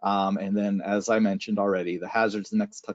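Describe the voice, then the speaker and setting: A man is speaking. His pace is fairly quick. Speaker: meteorologist. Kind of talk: weather briefing. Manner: halting, many fillers.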